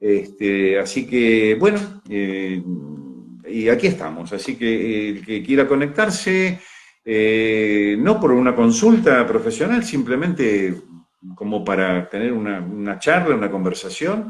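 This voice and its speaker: Speaking at a very slow pace with lively intonation, a man with an Argentine accent holds a medium pitch. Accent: Rioplatense Argentine Spanish. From Argentina, Mar del Plata. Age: 70s. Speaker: retired pediatrician and holistic coach. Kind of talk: casual live chat. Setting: live video stream. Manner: halting, many fillers.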